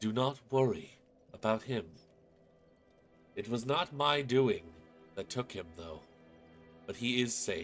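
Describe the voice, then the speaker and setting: Using a put-on character voice, a man speaks at medium pitch and a fairly slow pace with long, frequent pauses while faint music plays in the background. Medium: actual play. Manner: calm, elegant, precise.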